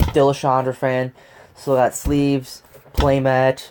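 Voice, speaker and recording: His pitch is medium. The speaker is a man. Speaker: gaming YouTuber. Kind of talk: rant over gameplay. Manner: monotone.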